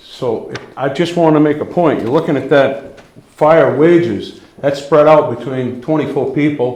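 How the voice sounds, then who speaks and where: In a room with audible echo, a man speaks at a fairly high pitch with fairly even intonation. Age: 60s. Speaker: volunteer firefighter. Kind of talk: public meeting comment. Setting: town budget hearing. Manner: halting.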